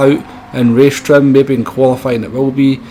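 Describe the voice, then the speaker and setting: Speaking in a Scottish accent, a man uses a medium pitch. Noticeable background noise runs behind him. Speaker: sim racing video creator. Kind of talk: tutorial commentary.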